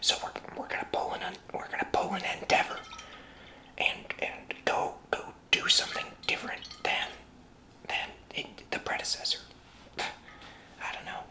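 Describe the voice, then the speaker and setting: Someone whispers at a moderate pace with long, frequent pauses. Noticeable background noise is present. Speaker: bartender ASMR roleplay host. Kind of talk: ASMR cocktail-making demonstration, talking to camera. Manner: soft-spoken, whispering.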